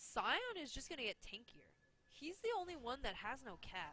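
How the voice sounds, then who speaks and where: With a fair amount of noise behind her, a woman talks at an even, middling speed. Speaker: esports co-caster. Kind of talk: live commentary.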